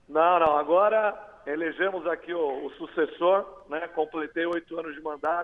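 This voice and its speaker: Noticeable background noise sits behind a man talking at a moderate pace. His pitch is high, his intonation fairly even, and his loudness swings widely. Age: 40s. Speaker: mayor. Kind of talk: TV interview.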